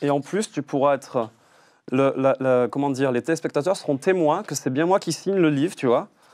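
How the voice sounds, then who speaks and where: The man's voice is fairly high in pitch, at a moderate pace. The background is quiet. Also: ordinary pitch variation. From France, Toulouse; France. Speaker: artist photographer; guest. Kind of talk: TV interview. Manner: halting, many fillers and repetitions. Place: studio. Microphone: lapel.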